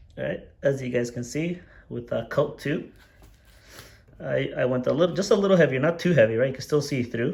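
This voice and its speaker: A medium-pitched male voice with vocal fry, a fairly quick pace, ordinary pitch variation, and long, frequent pauses. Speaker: RC hobbyist video maker. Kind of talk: tutorial. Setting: garage. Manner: casual, informal.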